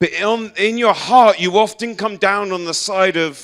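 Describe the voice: Speaking at a fairly slow pace, the man has a high pitch, a fairly bright tone and ordinary pitch variation.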